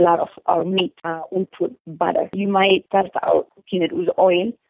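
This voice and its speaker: A woman with an Eritrean accent talks at a moderate pace, her medium pitch showing ordinary variation. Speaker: chef. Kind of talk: interview. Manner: halting.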